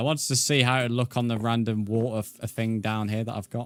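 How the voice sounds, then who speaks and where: Over a silent background in a very clean recording, a man with a British accent talks at a fairly quick pace and medium pitch. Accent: British, often mistaken for Australian. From England. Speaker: gaming streamer. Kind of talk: live stream chat while gaming. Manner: casual, halting with fillers.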